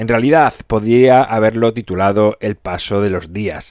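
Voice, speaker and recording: A man's medium-pitched voice in a dry, close sound with no echo. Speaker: podcast host. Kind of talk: motivational monologue. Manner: energetic.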